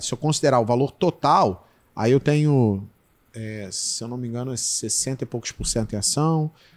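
A man with a normal speaking voice talks at a fairly slow pace, with ordinary pitch variation. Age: 40s. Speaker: podcast host for supermarket owners; podcast guest. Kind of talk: casual chat. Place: studio. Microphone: studio mic.

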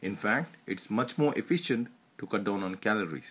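A man with lively intonation talks at a fairly quick pace, the background quiet. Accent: Indian. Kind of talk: health tips explainer narration.

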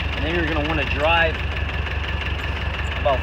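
Loud background noise around a dry sound with no echo. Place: open country. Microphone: phone near.

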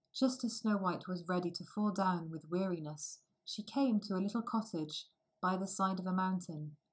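The quiet background holds plain reading aloud that shows ordinary pitch variation.

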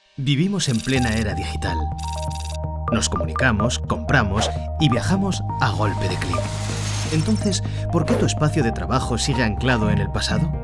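A man talks at a moderate pace over loud music in the background. He takes long, frequent pauses. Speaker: voice actor. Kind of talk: corporate commercial read. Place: studio.

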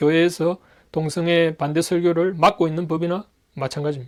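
The man's voice sits high in pitch and moves at a moderate pace. The recording is very clean, with a silent background. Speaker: Bible teacher. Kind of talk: lecture.

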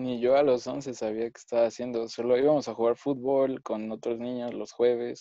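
Against a quiet background, a man speaks at a medium pitch and moderate pace in a monotone, flat intonation, with big swings in loudness and a dry sound with no echo. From Mexico City. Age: 20s. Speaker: engineering student, former church member; podcast panelist. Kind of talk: panel discussion. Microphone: earbuds.

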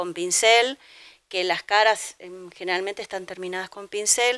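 A quiet background behind a woman's voice. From Argentina, Buenos Aires. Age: 50s. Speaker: painter. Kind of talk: interview. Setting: at home. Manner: halting. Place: home room. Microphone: handheld.

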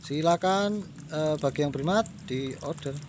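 A man talks at a moderate pace, the sound dry with no echo and light background noise present. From Indonesia. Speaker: plant seller. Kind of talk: sales pitch. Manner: repetitive promo phrases like 'murah sekali' with filler hesitations. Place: garden. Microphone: phone near.

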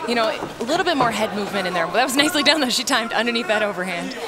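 With crowd noise behind her, a woman speaks at a fairly high pitch with very wide pitch swings. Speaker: color commentator. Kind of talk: live sports commentary. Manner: analytical, fluent, technical play-by-play.

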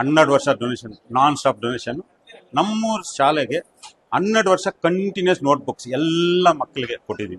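A man talks with lively intonation at a fairly high pitch. The sound is dry and close, with no echo. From India, Kolar district, Karnataka. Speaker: technician and school donor. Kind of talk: interview testimony. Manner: halting.

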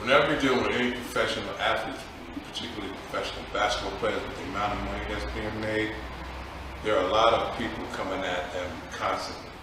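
Amid audible room echo and noticeable background noise, a man with a fairly low pitch talks at a very fast pace. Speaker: interview guest, basketball trainer. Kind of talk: interview answer. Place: studio.

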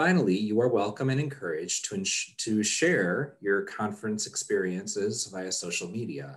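With a quiet background, a man talks at a moderate pace. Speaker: conference session moderator. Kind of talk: reading housekeeping announcements. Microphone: video call.

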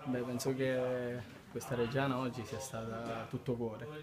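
A man at a moderate pace against noticeable background noise. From Sicily. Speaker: footballer. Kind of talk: post-match interview answer. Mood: calm, satisfied after win. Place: hall. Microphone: handheld.

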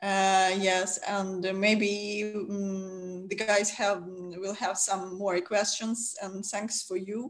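A woman with a Ukrainian accent, at a very slow pace, in a monotone, flat intonation. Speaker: webinar host. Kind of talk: webinar moderation. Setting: video call. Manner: halting. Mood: friendly, relaxed. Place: home room. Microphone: video call.

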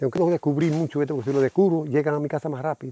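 Delivered at a very fast pace with fairly even intonation, the speech has a dry, close sound with no echo. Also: man. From Dominican Republic, Puerto Plata. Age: old. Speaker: beekeeper and farmer. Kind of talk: casual chat.

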